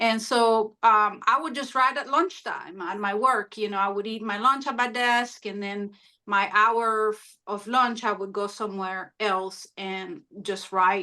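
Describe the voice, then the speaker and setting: A woman with a Spanish accent speaks slowly-ish, at a fairly slow pace and fairly high pitch, her bright, sharp voice showing ordinary pitch variation and big swings in loudness against a quiet background. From Honduras. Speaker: author. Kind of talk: interview. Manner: hesitant, many fillers.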